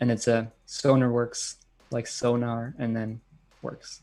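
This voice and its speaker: Very slow in pace, a man speaks at a medium pitch with a monotone, flat intonation. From Germany, Bayreuth in Bavaria. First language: German. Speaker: electronic music producer and DJ. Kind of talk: live-stream Q&A. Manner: casual, many filler words.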